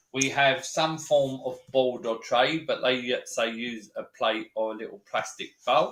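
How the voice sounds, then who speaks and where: A man with a London accent, at a very slow pace. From East London, England. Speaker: science educator. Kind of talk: live stream demo. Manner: animated.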